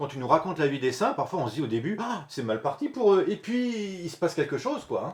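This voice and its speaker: A man's somewhat breathy voice at a fairly quick pace, with very wide pitch swings. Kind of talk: interview host, friendly conversation.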